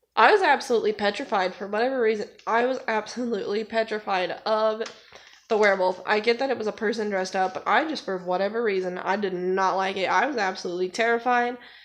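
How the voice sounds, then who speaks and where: Against a quiet background, a woman speaks at a fairly quick pace with a fairly high pitch and ordinary pitch variation. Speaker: booktuber. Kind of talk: casual vlog. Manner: halting, slip-ups.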